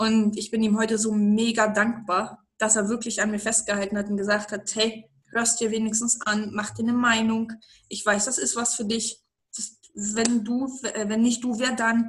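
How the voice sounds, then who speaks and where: A woman's somewhat breathy, fairly high voice in a monotone, flat intonation at a moderate pace. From eastern Germany. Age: 30s. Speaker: network marketing entrepreneur. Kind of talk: interview about life story.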